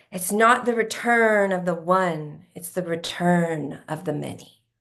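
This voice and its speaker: Putting on a character voice, a woman booms out loud at a medium pitch and a fairly slow pace, with ordinary pitch variation. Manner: proclaiming, prophetic.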